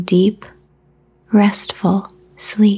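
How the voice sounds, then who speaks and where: A woman speaks softly in a dark, mellow, calm tone. Her voice is somewhat breathy. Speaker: meditation guide. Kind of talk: guided sleep meditation. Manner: soft-spoken; slow, calm.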